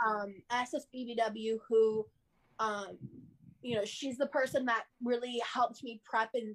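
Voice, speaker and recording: A woman speaks at a fairly slow pace. Her pitch sits fairly high. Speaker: author and social media influencer. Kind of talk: casual interview. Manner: energetic.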